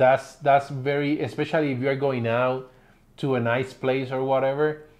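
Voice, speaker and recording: Speaking with a Spanish accent, a man uses a medium pitch. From Puerto Rico. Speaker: family vlogger. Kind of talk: casual chat.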